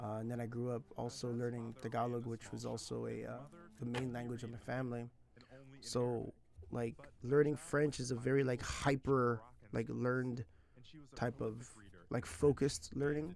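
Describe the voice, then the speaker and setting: A man speaks at a moderate pace with fairly even intonation and long, frequent pauses, heard against light background noise in a dry recording with no echo. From California. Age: 30s. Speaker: language teacher and streamer; language teacher, streamer. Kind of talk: casual live stream chat. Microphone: headset.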